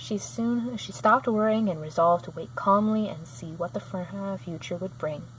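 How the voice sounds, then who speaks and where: A woman speaks at a moderate pace with a fairly low pitch and a somewhat breathy sound. Her pitch swings very widely. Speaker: channel owner reading a children's book. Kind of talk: reading aloud. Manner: halting.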